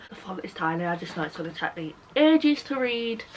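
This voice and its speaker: Against noticeable background noise, a woman with a British accent speaks at a fairly quick pace. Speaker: book YouTuber. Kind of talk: casual chat. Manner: animated.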